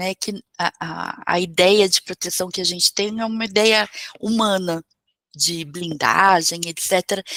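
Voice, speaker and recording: This bright, sharp voice moves at a fairly slow pace with fairly even intonation and a dry, close sound free of echo. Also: woman, medium pitch for a woman. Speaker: holistic therapist and spiritual teacher. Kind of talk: online talk or class.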